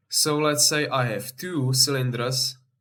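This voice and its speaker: Speaking with a non-native accent, a man uses a medium pitch and fairly even intonation, somewhat breathy, in a very clean recording with a silent background. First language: not English. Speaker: game vehicle builder. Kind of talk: game tutorial explanation. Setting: low-quality home microphone.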